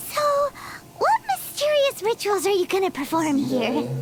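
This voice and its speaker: A put-on character voice at an extremely high pitch swings very widely up and down at a moderate pace over clear background noise. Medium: video game. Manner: snarky.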